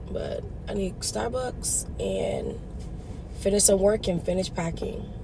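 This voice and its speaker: Noticeable background noise behind a female voice. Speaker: parent vlogger. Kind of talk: casual vlog chat. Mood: relaxed, chatty. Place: car. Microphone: phone near.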